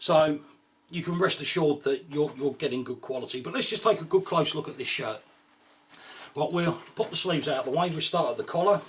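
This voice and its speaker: A man's high voice at a fairly quick pace, with ordinary pitch variation and noticeable background noise. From UK. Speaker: gear reviewer. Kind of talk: product review. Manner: casual, frequent fillers like right and um.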